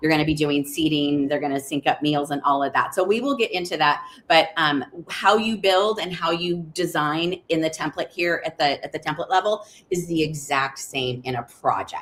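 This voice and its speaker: Over noticeable background noise, a woman speaks at a very deep, low pitch with ordinary pitch variation. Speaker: software trainer. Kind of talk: webinar tutorial. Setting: live video stream. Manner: fast.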